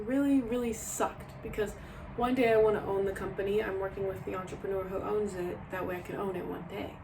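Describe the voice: A woman speaks at medium pitch and a fairly quick pace with fairly even intonation. Audible room echo surrounds her.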